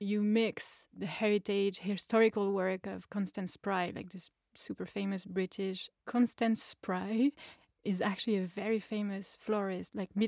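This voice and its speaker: Her intonation is monotone and flat. The woman speaks in a French accent. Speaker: flower farmer and interviewer. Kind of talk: interview; tutorial. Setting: video call; outdoors.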